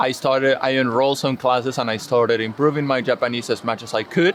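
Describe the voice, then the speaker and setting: Noticeable background noise sits behind a man who speaks with a Spanish accent, a medium pitch and fairly even intonation. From Spain. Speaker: English teacher. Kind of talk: interview.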